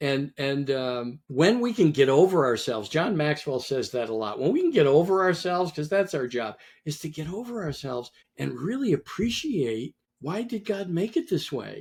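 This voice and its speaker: At a moderate pace, a man speaks with a fairly high pitch and very wide pitch swings. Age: 70s. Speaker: entrepreneur, author and business coach. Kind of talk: interview conversation.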